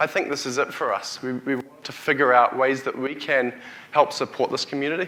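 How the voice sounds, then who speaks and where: A man with a New Zealand accent talks at a fairly quick pace. His medium-pitched voice is monotone and flat. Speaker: tech company CEO, keynote speaker. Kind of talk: conference keynote. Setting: stage with audience. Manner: halting, with frequent restarts and fillers.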